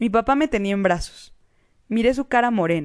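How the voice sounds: A natural reading voice delivers the words with lively intonation.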